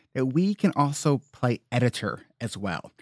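An unremarkable speaking voice from a man, medium in pitch with lively intonation. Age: 30s. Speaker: therapist, coach and podcaster. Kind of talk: casual interview.

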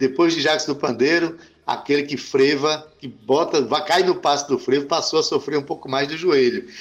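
Here is a man with a plain, everyday voice and a fairly high pitch. He speaks at a moderate pace with fairly even intonation. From Brazil, Paraíba (João Pessoa). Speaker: radio host. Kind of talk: radio talk show.

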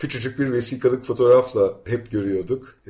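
Somewhat breathy with a dark, mellow tone, a man talks at a medium pitch and a moderate pace. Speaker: radio show host. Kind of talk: radio interview.

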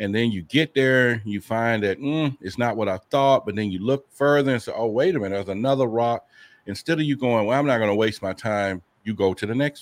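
This man has a plain, everyday voice at a medium pitch with ordinary pitch variation. He talks at a fairly quick pace. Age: 50s. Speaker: UFO investigator and podcaster. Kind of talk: interview.

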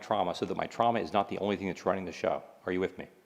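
Speaking at a very fast pace, a man with a fairly low pitch uses lively intonation. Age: 50s. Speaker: psychiatrist and speaker. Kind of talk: lecture.

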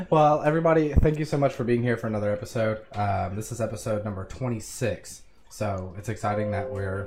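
A man's medium-pitched, somewhat breathy voice at a fairly quick pace, with ordinary pitch variation. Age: 20s. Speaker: podcast host. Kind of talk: scripted intro; casual chat.

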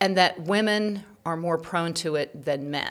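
A woman's fairly low voice, an ordinary speaking voice, with ordinary pitch variation. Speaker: podcast host. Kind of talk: interview hosting. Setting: studio.

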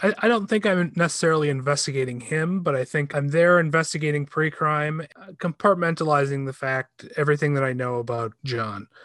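With a plain, everyday voice, a man talks at a fairly quick pace and a fairly high pitch, with ordinary pitch variation and hardly any pauses. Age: 40s. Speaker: film critic. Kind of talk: casual chat.

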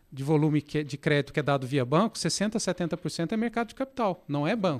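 A man's fairly high voice at a fairly quick pace, dry and close with no echo, on a very clean recording with a silent background. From Brazil, interior of Minas Gerais (Passos). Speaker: fintech product executive. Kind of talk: interview conversation. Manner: halting, many fillers.

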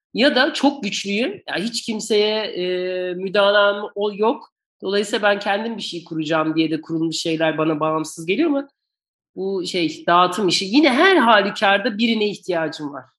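A woman talks in an ordinary speaking voice at a medium pitch. Her pace is moderate and her intonation lively. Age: 40s. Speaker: podcast host, works in music rights management. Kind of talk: interview. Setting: video call.

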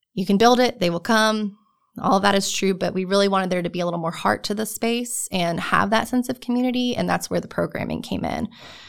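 A woman with an American accent talks at a very fast pace and a medium pitch. Her pitch varies in an ordinary way, and the recording is very clean with a silent background. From New Jersey. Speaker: research park programming director. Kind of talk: interview. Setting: studio.

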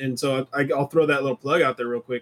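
In a dry, close recording with no echo, a man speaks at a fairly high pitch with ordinary pitch variation. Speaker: podcast host. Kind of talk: casual chat. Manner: hesitant, filler-heavy.

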